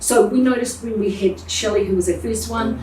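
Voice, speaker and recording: A woman speaks with a New Zealand accent at a moderate pace. There is noticeable background noise. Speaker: plumbing business owner. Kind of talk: interview answer.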